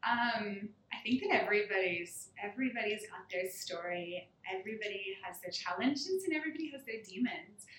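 Fairly high in pitch, a woman talks at a fairly quick pace with lively intonation over noticeable background noise. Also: big swings in loudness. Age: young. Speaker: fitness studio owner. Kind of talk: interview.

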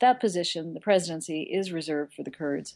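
Against a quiet background, a woman with an unremarkable speaking voice talks at a fairly quick pace in a fairly low pitch. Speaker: foreign correspondent. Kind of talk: news report.

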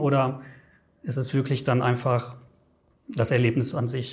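At a moderate pace, a man speaks in a fairly high, somewhat breathy voice. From Germany. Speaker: travel editor. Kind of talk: interview. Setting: studio.

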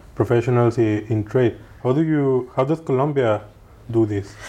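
A man speaks with a Spanish accent in a dark, mellow tone. His pace is fairly slow. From Mexico. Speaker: podcast host. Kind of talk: interview.

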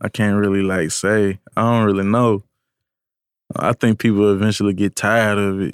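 A man's fairly low voice, flat and monotone, at a moderate pace with very even loudness, dry and close with no echo, on a very clean recording with a silent background. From Tennessee, Columbia. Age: 20s. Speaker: music producer. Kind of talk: casual interview chat.

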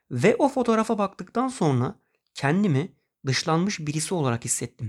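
The speaker goes at a moderate pace with very wide pitch swings. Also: man. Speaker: podcast host. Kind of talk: personal monologue podcast.

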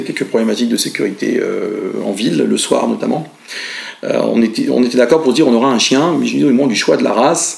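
A man is talking, with noticeable background noise in the recording. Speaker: pet food company founder. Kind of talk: interview. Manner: hesitant with filler sounds.

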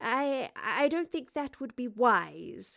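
A woman puts on a character voice, speaking slowly at a fairly high pitch with big pitch swings, vocal fry and a fairly bright tone, in a very clean recording with a silent background.

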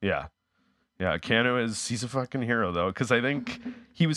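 A man talks at a fairly quick pace with very wide pitch swings and vocal fry. The recording is very clean, with a silent background. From Canada, Winnipeg. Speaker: actor, comedian and YouTuber. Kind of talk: casual chat.

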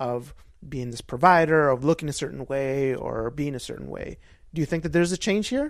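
A man with a normal speaking voice talks at a moderate pace at a fairly high pitch, with ordinary pitch variation. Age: 30s. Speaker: podcast host. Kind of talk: casual interview chat; promotional announcement.

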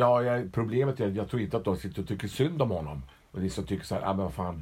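Very fast speech with vocal fry and lively intonation. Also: man. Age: old. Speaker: podcast co-host. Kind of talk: casual chat.

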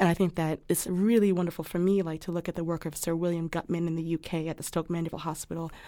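A woman talks at a very fast pace with hardly any pauses, in a fairly low pitch and a monotone, flat intonation. The recording is very clean, with a silent background. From West Africa. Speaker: non-operative orthopedic physician. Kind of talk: interview conversation.

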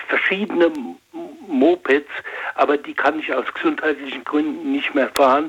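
The intonation holds fairly even. The speaker is a man. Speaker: retired lubricants expert, caller. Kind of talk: phone call-in. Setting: phone call. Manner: halting.

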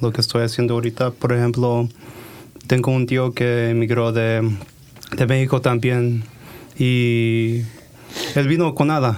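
Noticeable background noise sits behind this recording. A man talks very slowly at a medium pitch. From Oregon, US (Hillsboro/Forest Grove, Mexican family). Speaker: health startup founder. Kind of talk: interview.

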